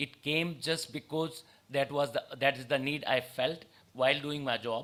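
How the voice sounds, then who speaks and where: Bright and sharp in tone, a man speaks at a fairly high pitch with fairly even intonation. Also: moderate pace. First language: an Indian language. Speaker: ophthalmologist and cornea specialist. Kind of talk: conference talk. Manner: halting.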